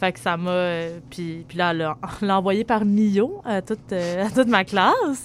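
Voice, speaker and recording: Speaking very slowly with a Quebec accent, a woman uses a medium pitch and ordinary pitch variation. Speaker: writer and performer. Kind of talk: interview. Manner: halting.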